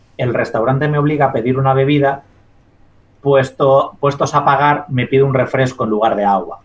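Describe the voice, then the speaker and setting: A man with a fairly high voice speaks at a moderate pace, sounding somewhat breathy. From Spain, La Mancha. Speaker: dietitian-nutritionist and science communicator. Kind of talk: interview.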